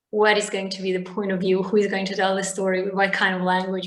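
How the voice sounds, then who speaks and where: A woman speaks at a medium pitch in a flat monotone. Audible room echo fills the recording. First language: Bosnian/Serbo-Croatian. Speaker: novelist. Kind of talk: interview.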